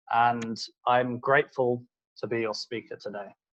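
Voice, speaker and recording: A man with a British accent at a moderate pace. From UK. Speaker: solutions consultant. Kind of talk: webinar presentation. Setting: online webinar.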